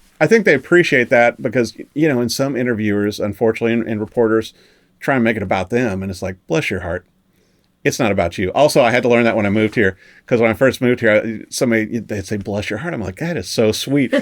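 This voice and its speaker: A man talks at a very fast pace, his medium pitch moving with ordinary variation. The recording is very clean, with a silent background. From Missouri, US Midwest. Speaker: music writer and TV interviewer. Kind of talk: casual chat. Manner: animated.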